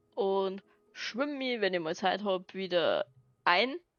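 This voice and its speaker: With music playing behind her, a woman talks in a Bavarian accent using lively intonation. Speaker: gaming video creator. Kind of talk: casual let's play commentary.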